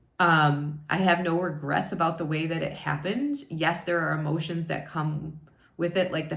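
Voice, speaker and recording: A woman speaks in a very deep, low voice with monotone, flat intonation. Audible room echo surrounds her. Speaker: wellness coach. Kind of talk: vlog monologue. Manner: loud.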